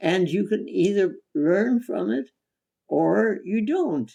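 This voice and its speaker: The pace is very slow. The speaker is a woman. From India. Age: 80s+. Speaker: holistic physician. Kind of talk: interview answer.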